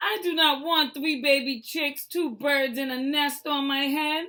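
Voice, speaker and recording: Using a put-on character voice, a woman speaks at a moderate pace in a high, raised, projected voice. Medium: read story. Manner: anxious, fretful.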